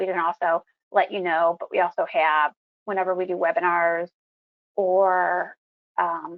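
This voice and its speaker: A woman speaks at a moderate pace with a medium pitch. It is an ordinary speaking voice. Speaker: insurance company presenter. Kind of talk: webinar presentation.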